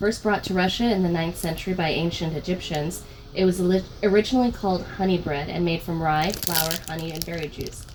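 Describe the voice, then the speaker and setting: A woman's fairly even intonation carries at a fairly quick pace through noticeable background noise. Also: fairly low pitch for a woman. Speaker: guest co-host. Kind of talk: reading product info card aloud.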